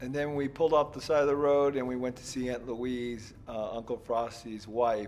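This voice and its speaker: With an American accent, a man talks at a moderate pace and medium pitch in a plain, everyday voice, keeping fairly even intonation, hardly any pauses, and big swings in loudness. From US West Coast, San Diego. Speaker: entrepreneur and podcast host. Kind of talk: casual chat; travel vlog narration.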